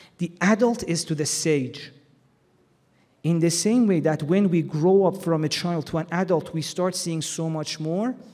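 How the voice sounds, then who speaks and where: With a high pitch and a dark, mellow tone, a man talks at a fairly slow pace with ordinary pitch variation. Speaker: Islamic lecturer. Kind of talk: religious lecture. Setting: hall with audience, PA system. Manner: loud.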